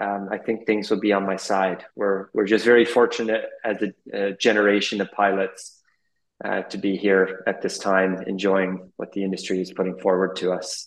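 Flat, monotone speech from a man with a Canadian accent, fairly low in pitch and moderate in pace. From Canada, British Columbia (Abbotsford). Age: 40s. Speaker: private jet pilot. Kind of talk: interview, casual chat.

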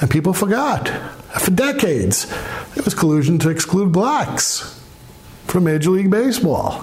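Over noticeable background noise, a man with a high pitch speaks at a moderate pace with very wide pitch swings and very even loudness. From New York, Brooklyn. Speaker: author. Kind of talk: library book talk. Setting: library event with audience.

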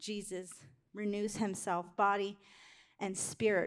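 A woman is speaking. Her pace is very slow. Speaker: guest preacher. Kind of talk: sermon. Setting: church. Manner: energetic.

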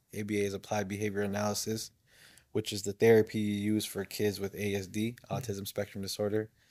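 A man with an American accent speaks fairly quickly at a fairly low pitch in a flat monotone, recorded very cleanly against a silent background. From Minnesota, Minneapolis; Somali family. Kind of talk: casual interview chat.

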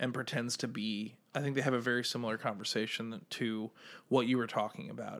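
In a very clean recording with a silent background, a man with a normal speaking voice talks fairly quickly at medium pitch with fairly even intonation. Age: 30s. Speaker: podcast co-host. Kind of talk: casual chat.

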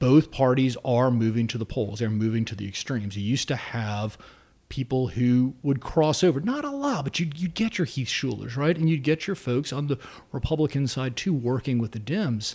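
In a very clean recording with a silent background, a somewhat breathy voice moves at a moderate pace with ordinary pitch variation. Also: man, medium pitch for a man. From South Carolina. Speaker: political science professor. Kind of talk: interview.

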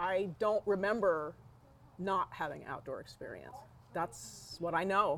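A woman with an American accent and a medium pitch, with lively intonation, vocal fry and a fairly slow pace. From Seattle area, US Pacific Northwest. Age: 50s. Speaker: nonprofit founder and outdoor educator. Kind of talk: interview conversation. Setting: outdoors by a lake.

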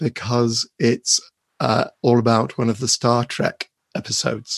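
A man of medium pitch speaks with a British accent. The sound is dry and close, with no echo. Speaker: podcast host. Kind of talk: interview. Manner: quiet.

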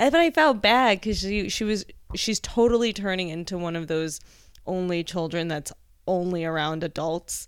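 A woman speaks at a moderate pace with an American accent, in a medium pitch with ordinary pitch variation. She has a plain, everyday voice, captured in a very clean recording with a silent background. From New Jersey. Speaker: comedian. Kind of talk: casual chat.

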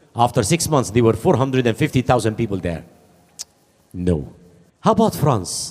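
A man's medium-pitched voice at a fairly slow pace. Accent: Arabic. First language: Arabic. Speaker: archaeologist, antiquities official. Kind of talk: speech at event. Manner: animated.

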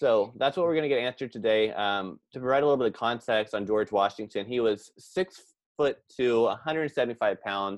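Speaking in a plain, everyday voice, a man keeps a moderate pace, a medium pitch and ordinary pitch variation. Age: 20s. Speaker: podcast host. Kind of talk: casual comedic chat.

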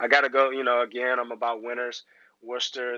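This man talks at a fairly quick pace in a Texas accent, his medium-pitched voice bright and sharp in tone, monotone and flat in intonation, with a dry, close sound and no echo. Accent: Southern US (Texas). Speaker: professional basketball player and coach. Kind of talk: casual interview.

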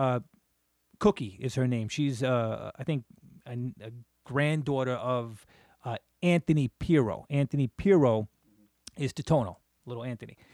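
Speaking in a New Jersey accent, a man with a medium pitch and a dark, mellow tone uses ordinary pitch variation at a moderate pace. His long pauses come often, and the sound is dry and close with no echo. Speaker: podcast co-host. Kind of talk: casual chat.

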